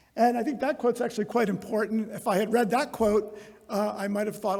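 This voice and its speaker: High pitch from a man at a fairly quick pace, noticeable background noise behind him. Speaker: company executive giving a conference talk. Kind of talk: conference keynote talk. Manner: casual, with many fillers and false starts.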